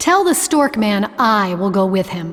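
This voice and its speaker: A female-sounding, put-on character voice, growling at medium pitch and a moderate pace. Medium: audio drama. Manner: tart, self-assured.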